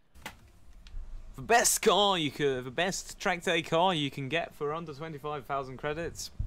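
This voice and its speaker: A man with a bright, sharp tone talks at a very slow pace with ordinary pitch variation and hardly any pauses. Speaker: gaming youtuber. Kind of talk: casual reaction video. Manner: self-deprecating, jokey. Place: home room. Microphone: headset.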